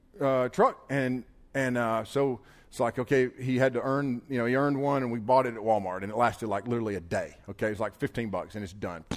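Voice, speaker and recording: Fairly quick speech carries ordinary pitch variation throughout. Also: man. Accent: Southern US. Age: 40s. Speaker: pastor. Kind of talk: sermon. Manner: animated.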